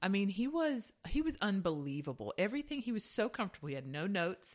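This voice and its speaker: At a moderate pace, a woman speaks with a Southern US accent on a very clean recording with a silent background. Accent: Southern US (Georgia). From US South (Hazlehurst, Georgia). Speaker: podcast co-host, singer. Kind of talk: casual chat.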